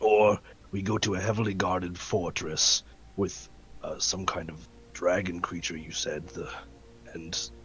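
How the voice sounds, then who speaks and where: A man's put-on character voice, raspy and very deep and low, at a moderate pace with long, frequent pauses over clear background noise. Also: ordinary pitch variation. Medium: actual play. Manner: careful, deliberate.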